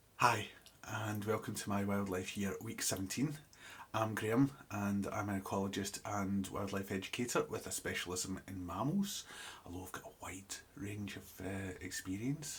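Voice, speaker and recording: With a somewhat breathy, fairly low voice, a man speaks at a moderate pace in fairly even intonation. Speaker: ecologist and wildlife educator. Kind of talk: video diary. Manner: halting, many fillers.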